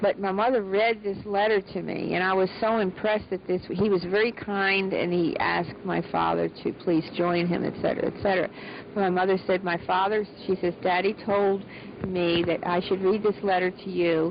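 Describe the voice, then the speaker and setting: Amid noticeable background noise, a woman with a medium pitch talks at a moderate pace in monotone, flat intonation. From US, Baltimore. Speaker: interviewee, daughter of a scientist. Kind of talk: interview testimony.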